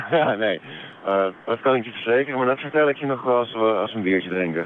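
Speaking at a very fast pace and mumbling, a man with a medium-pitched voice is recorded with a dry sound with no echo over light background noise. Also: ordinary pitch variation. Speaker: cycling traveller. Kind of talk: radio phone interview answer. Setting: phone line. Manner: hesitant, mumbling. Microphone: phone line.

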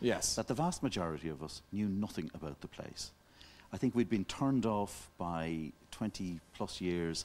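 A man's very deep, low voice with lively intonation at a fairly slow pace. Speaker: TV talk show guest, journalist. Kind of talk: interview answer. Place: studio. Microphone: lapel.

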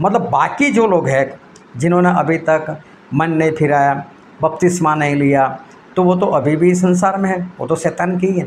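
A high-pitched man speaks at a moderate pace with ordinary pitch variation and long, frequent pauses, over light background noise. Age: 50s. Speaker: preacher. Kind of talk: sermon. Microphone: phone near.

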